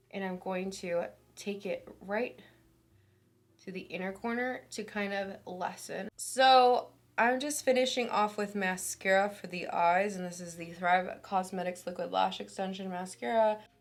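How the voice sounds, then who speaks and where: A woman's normal speaking voice at medium pitch and a fairly slow pace, with ordinary pitch variation and big swings in loudness. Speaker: beauty YouTuber. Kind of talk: makeup tutorial. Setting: at home. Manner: casual, chatty.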